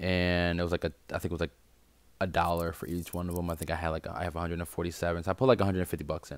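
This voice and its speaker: A man speaks at a very fast pace with a very deep, low pitch. The recording is very clean, with a silent background. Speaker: crypto investing vlogger. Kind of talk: casual screen-share walkthrough. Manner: hesitant, many fillers.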